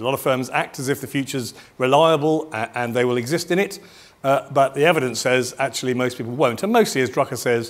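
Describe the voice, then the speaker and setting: A man speaks at a very fast pace with a British accent. His medium pitch shows ordinary variation. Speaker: business futurist, keynote speaker. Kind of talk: keynote presentation. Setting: stage with audience at event.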